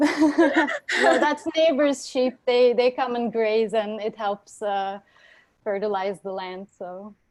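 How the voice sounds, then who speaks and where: A woman with a Turkish accent, fairly high in pitch, very slow, with big swings in loudness. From western Turkey (Urla). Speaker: oceanographer and engineer. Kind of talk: interview.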